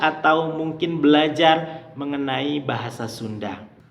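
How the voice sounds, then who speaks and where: With audible room echo and noticeable background noise, a man speaks in a fairly high pitch at a fairly slow pace. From Indonesia, West Java (Garut). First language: Sundanese (speaking Indonesian). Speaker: language teacher, YouTuber. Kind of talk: tutorial.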